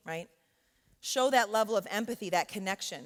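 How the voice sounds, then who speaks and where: The speaker is a woman at a medium pitch. She talks at a moderate pace. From New York. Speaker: professor. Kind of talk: workshop talk. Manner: loud; conversational, with frequent fillers.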